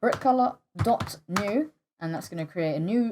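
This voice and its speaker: A woman with lively intonation. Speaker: game scripting tutorial creator. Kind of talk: tutorial. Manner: halting, stuttering with fillers.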